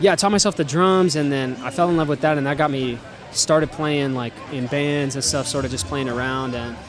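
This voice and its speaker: Noticeable background noise sits under the speech. The delivery is fairly quick, and the pitch varies in an ordinary way. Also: man, fairly high pitch for a man. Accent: American. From Texas (McAllen, Rio Grande Valley; later Waco). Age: 20s. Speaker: musician. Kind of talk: casual interview. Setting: live show with audience at a venue. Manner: hesitant, many fillers (um, like).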